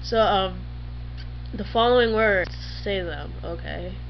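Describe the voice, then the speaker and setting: A woman speaks with an American accent. Light background noise is present. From New England, US. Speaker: YouTuber. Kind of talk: casual vlog. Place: home room. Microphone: webcam.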